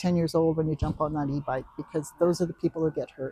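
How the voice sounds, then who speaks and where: A woman is speaking. Her tone is dark and mellow. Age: 70s. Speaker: masters road cyclist. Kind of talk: interview. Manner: halting.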